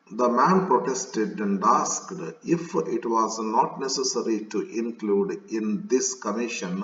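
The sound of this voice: The reading voice comes across as unforced.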